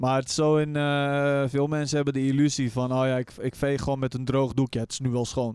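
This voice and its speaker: A man with a medium-pitched voice speaks fairly quickly, barely pausing. His intonation is flat and monotone. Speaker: streamer and podcast co-host. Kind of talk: casual chat. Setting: studio.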